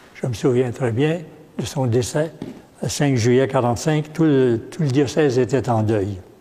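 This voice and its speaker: A man speaks at a very slow pace and a medium pitch, with ordinary pitch variation. Audible room echo and noticeable background noise fill the recording. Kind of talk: lecture. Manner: halting.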